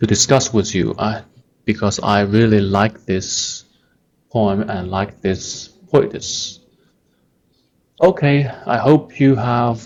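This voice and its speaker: In a Chinese accent, a man talks very slowly at a medium pitch with ordinary pitch variation. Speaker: language teacher on video channel. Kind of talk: tutorial. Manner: halting, many fillers.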